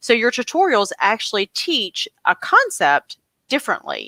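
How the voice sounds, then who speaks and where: The voice comes with a Southern US accent and a dry, close sound with no echo. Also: woman. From US South, coastal North Carolina. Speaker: homeschool channel host. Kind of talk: casual interview.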